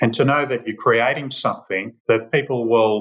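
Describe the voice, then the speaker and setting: A man speaks in an Australian accent. His delivery carries that accent throughout. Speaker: winemaker and wine company managing director. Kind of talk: podcast interview.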